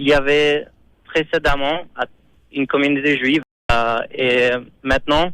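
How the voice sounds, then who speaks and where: A man with a non-native accent, a bright, sharp tone, flat monotone intonation, a fairly slow pace and long, frequent pauses. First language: not French (speaking French). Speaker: Chabad rabbi / community emissary. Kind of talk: radio interview. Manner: halting, many repetitions.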